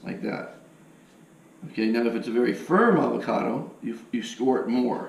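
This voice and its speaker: A man talks in a space with audible room echo and noticeable background noise. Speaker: home cook demonstrating recipe. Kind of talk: cooking tutorial.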